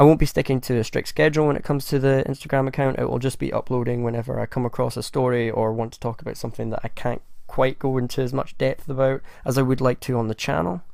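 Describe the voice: A man talks at a fast pace with vocal fry and a gruff, slightly mellow tone, his medium pitch showing little movement.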